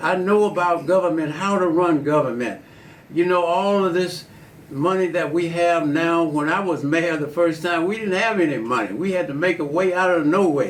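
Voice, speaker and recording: Speaking at a high pitch for a man with an American accent, this man keeps a moderate pace, ordinary pitch variation and very even loudness, with audible room echo around him. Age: 80s+. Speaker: politician. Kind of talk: interview. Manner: halting.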